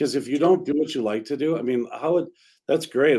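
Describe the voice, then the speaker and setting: This man has a normal speaking voice and a fairly quick pace. His pitch varies in an ordinary way. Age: 50s. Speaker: real estate broker and podcast co-host. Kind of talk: casual chat.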